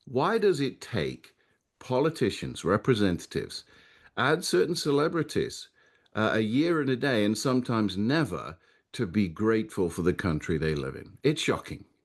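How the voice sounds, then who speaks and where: This man speaks with an English accent and vocal fry. His pitch swings very widely. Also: medium pitch for a man, moderate pace, quiet background. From England, Nottingham. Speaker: Anglican priest, commentator. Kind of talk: radio talk show interview.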